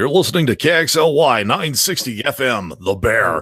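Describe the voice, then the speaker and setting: A man's put-on character voice, raspy and medium in pitch, at a very slow pace on a very clean recording with a silent background. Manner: exaggerated, over the top.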